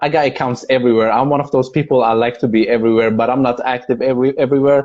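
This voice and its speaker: A man speaks with a Persian accent at a medium pitch and with fairly even intonation. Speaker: video and content creator. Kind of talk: casual chat. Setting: video call.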